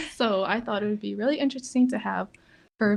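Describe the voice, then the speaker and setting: The voice is somewhat breathy. Behind it, the background stays quiet. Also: woman. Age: 20s. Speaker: podcast host. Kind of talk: casual chat. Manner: hesitant, filler-heavy.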